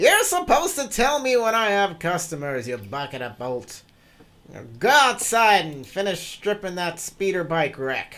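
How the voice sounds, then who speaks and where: A put-on character voice, shrill and at a middle pitch. It swings very widely in pitch and moves at a moderate pace. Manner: shrieking, angry, shrill.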